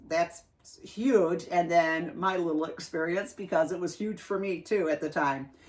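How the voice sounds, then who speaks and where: There is noticeable background noise behind this woman. Her fairly low pitch shows ordinary pitch variation. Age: 60s. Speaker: outdoors vlogger. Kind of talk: casual interview chat.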